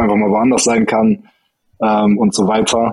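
Talking at a moderate pace, a man with an unremarkable speaking voice keeps his intonation fairly even. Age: 20s. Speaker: former judo athlete, incoming state coach. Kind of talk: interview.

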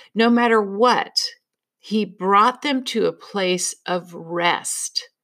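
With a plain, everyday voice at medium pitch and lively intonation, a woman speaks in a very clean recording with a silent background. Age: 60s. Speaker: counselor and podcast host.

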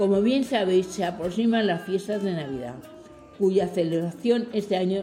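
At a moderate pace, a woman speaks with medium pitch and ordinary pitch variation, with audible room echo and noticeable background noise in the recording. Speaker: care home radio presenter. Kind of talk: reading aloud a script.

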